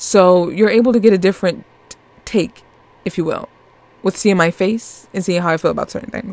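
A woman with a New York accent speaks very fast at a medium pitch in an animated tone, with ordinary pitch variation and big swings in loudness. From Northeast US. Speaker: podcast host. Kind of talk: casual chat.

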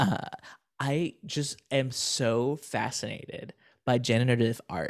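A man with an American accent speaks at medium pitch with ordinary pitch variation and vocal fry. The recording is very clean, with a silent background and a dry, close sound with no echo. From Florida. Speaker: software developer and streamer. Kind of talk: casual interview.

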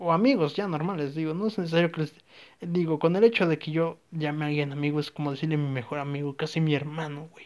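The very clean recording has a silent background, and the voice keeps a fairly even intonation while showing big swings in loudness. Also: man, fairly high pitch for a man. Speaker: podcaster. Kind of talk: casual monologue. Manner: rambling, halting.

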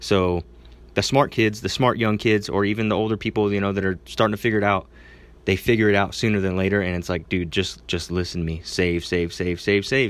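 At a fairly quick pace, a man with a plain, everyday voice speaks at fairly low pitch with fairly even intonation, on a very clean recording with a silent background. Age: 20s. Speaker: gym owner and podcast host. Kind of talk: casual solo advice talk. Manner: casual, filler-heavy.

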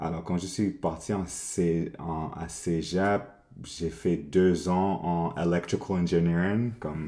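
A man's very deep, low voice, dark and mellow in tone, at a very slow pace. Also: ordinary pitch variation. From Montreal, Quebec. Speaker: agency co-founder, art director. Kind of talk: casual interview. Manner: halting, many repetitions.

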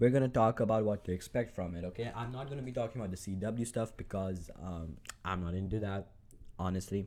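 With a non-native accent, a man talks at a very fast pace in a fairly low pitch, his dark, mellow tone carrying ordinary pitch variation. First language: not English. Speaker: solo podcaster, comic film fan. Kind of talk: casual solo monologue. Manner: hesitant, many fillers.

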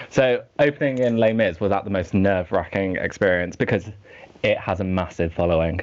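This man has an ordinary speaking voice, fairly low in pitch, with ordinary pitch variation and a fairly quick pace. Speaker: podcast host. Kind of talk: casual interview chat.

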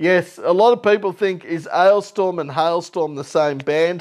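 A man's high voice with an Australian accent, at a fairly slow pace with ordinary pitch variation. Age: 30s. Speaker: music podcast host. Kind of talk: casual solo podcast chat.

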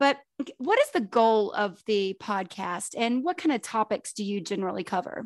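This is an unremarkable speaking voice with lively intonation, moving at a moderate pace with hardly any pauses. The sound is dry and close with no echo, and the background is quiet. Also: woman, fairly high pitch for a woman. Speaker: podcast co-host. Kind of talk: casual interview chat.

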